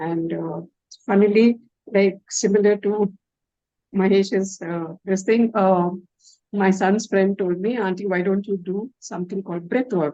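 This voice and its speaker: At a fairly slow pace, a woman speaks with a medium pitch. Her dark, mellow tone holds fairly even intonation. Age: 70s. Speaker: retired doctor and breathwork therapist. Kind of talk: testimony.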